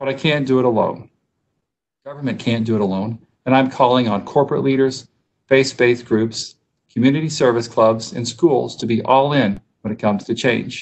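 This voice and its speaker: The pace is moderate as the man talks. Fairly even intonation marks his speech. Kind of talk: formal address at council meeting. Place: office. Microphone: video call.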